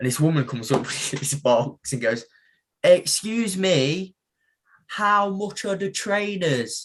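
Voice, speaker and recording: Over a quiet background, a man with an East Midlands accent speaks at a very slow pace. His high pitch moves in very wide swings. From England, Mansfield (East Midlands). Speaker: professional boxer. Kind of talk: casual chat.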